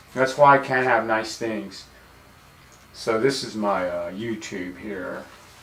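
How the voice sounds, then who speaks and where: A man with an American accent and a fairly low pitch speaks at a very slow pace with lively intonation, with audible room echo. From Texas, El Paso. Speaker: painter streaming live. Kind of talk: casual live-stream monologue. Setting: home studio, live stream. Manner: loud.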